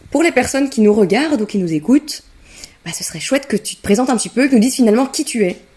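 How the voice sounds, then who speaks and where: A woman's high-pitched, very fast speech with lively intonation and big swings in loudness. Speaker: podcast host. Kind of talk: casual interview chat.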